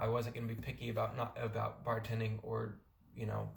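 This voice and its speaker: Music plays in the background as a man speaks with audible room echo. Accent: American. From California, US. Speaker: vlogger on a working holiday. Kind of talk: casual vlog talk. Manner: casual, with fillers and repeats.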